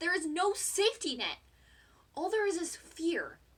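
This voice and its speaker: Using a raised, projected voice with a bright, sharp tone, a woman with an American accent talks at a moderate pace and an extremely high pitch. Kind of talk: spoken word poem, passionate performance.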